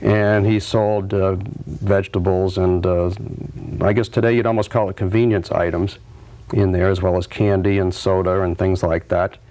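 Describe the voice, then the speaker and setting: Over noticeable background noise, the speaker talks at a moderate pace with an American accent. The intonation is monotone and flat, and the loudness stays very even. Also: man, very deep, low pitch for a man. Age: 40s. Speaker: local historian. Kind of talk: casual interview.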